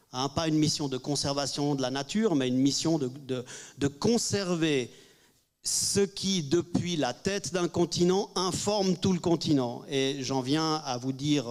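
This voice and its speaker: A man with a fairly high pitch, ordinary pitch variation, and a fairly slow pace. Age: 60s. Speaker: panelist. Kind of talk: press conference Q&A. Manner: halting.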